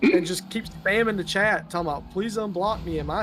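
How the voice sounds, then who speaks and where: With a strong Southern US accent, a man talks at a moderate pace in a high pitch with ordinary pitch variation. Music plays in the background. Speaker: gaming streamer. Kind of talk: casual chat.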